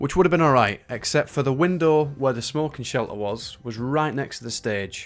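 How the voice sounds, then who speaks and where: A man talks at a moderate pace in a medium pitch, with ordinary pitch variation and hardly any pauses. He has a Northern English accent. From Northern England. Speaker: magician and stand-up comedian. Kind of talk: casual talk to camera. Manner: chatty storytelling.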